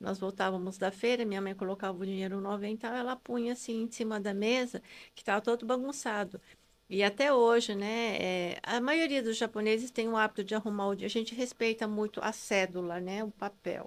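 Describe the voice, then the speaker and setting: This woman has a plain, everyday voice pitched fairly high. She keeps a moderate pace in a very clean recording with a silent background. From Brazil, Japanese-descendant family. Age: 60s. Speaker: integrative therapist. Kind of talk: podcast interview.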